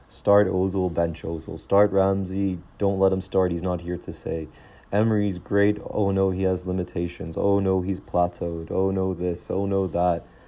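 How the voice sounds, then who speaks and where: An American-accented man talks at a moderate pace. His very deep, low voice stays flat and monotone throughout. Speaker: podcast host, football fan. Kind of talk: casual podcast monologue. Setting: living in England, recording solo. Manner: informal, chatty.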